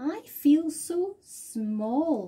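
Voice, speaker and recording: A woman uses a put-on character voice. Her pitch sits high. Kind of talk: bedtime story. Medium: read story.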